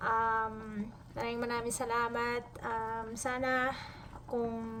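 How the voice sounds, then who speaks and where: Audible room echo follows a woman whose fairly high pitch and fairly even intonation move at a fairly slow pace. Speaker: cooking vlogger. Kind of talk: cooking tutorial. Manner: halting.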